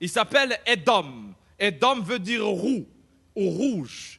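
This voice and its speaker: The voice is raised and projected, with a bright, sharp tone and very wide swings in pitch. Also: man. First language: not French (speaking French). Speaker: pastor. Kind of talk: sermon. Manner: animated.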